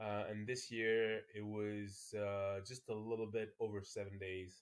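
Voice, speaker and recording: A man speaks at a very slow pace in a medium pitch. The background is quiet. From France, Paris. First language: French. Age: 40s. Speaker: ultra-distance cyclist; podcast guest. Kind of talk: casual chat. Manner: halting. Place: home room.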